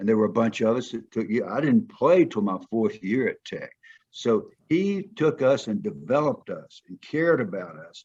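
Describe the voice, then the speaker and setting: With a Southern US accent, a man at medium pitch talks with vocal fry, his loudness swinging a lot and his pitch swinging very widely. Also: moderate pace. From US South. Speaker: former football player and coach. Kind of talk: interview conversation.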